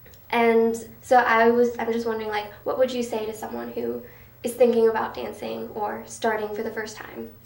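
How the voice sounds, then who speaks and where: A woman talks over noticeable background noise, and audible room echo surrounds her voice. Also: moderate pace, big swings in loudness. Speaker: student podcast host. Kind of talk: scripted narration.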